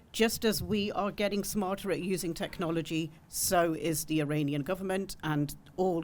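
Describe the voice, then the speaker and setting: Ordinary pitch variation in a British accent, with audible room echo. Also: woman. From UK. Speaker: women's rights campaigner. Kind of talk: panel talk. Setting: conference panel with audience.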